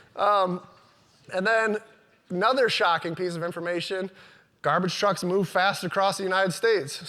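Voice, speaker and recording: A man speaks in a raised, projected voice with a bright, sharp tone and high pitch. The recording is very clean, with a silent background. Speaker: business owner giving a talk. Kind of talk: conference talk.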